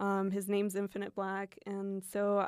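At a fairly slow pace, a woman talks at a medium pitch. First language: Spanish. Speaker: pop artist. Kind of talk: casual chat. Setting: studio.

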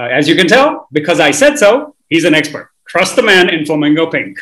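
A man's high voice with very wide pitch swings. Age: 30s. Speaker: podcast host. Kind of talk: casual interview chat. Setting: video call. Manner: animated.

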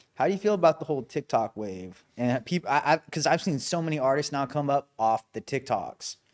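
In a very clean recording with a silent background and a dry, close sound with no echo, a man with a fairly high pitch and an unremarkable speaking voice talks at a fairly quick pace with lively intonation and hardly any pauses. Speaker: podcast co-host. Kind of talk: casual podcast chat.

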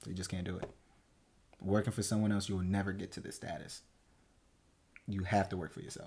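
A man with an American accent talks at a very fast pace, yet takes long, frequent pauses. His voice is somewhat breathy and his intonation is monotone and flat. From New Jersey, Newark. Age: 20s. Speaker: entrepreneur. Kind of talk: casual chat.

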